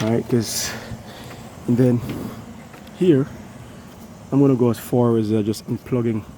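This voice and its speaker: Speech at a moderate pace, set against noticeable background noise. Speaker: HVAC technician. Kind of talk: tutorial. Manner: casual.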